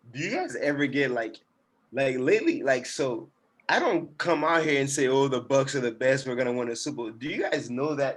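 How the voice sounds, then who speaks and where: This man has an ordinary speaking voice, fairly high in pitch, with ordinary pitch variation and a moderate pace. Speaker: TikTok sports commentator. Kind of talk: casual chat.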